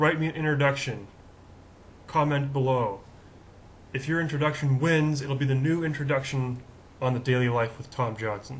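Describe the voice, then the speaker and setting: In a room with audible echo, a man with a fairly high, somewhat breathy voice speaks at a moderate pace with fairly even intonation and long, frequent pauses. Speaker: video show host. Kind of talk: casual monologue. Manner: conversational, with fillers.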